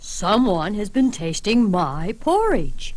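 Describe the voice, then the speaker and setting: Putting on a growling character voice at a fairly high pitch, a woman speaks fairly slowly over light background noise. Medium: read story.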